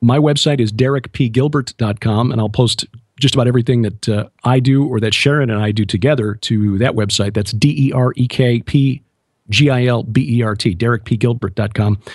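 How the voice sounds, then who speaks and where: In an American accent, a man uses a normal speaking voice at a medium pitch with ordinary pitch variation. He speaks at a fairly quick pace against a quiet background. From US Midwest, Chicago. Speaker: author and TV host, former radio broadcaster. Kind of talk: radio interview.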